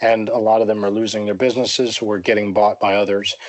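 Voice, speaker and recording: With an American accent, a man speaks in a monotone, flat delivery over noticeable background noise. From US, Pennsylvania. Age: 40s. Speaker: writer on economics and finance. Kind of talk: interview conversation.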